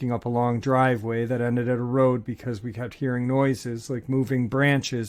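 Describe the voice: Someone is doing plain reading aloud here.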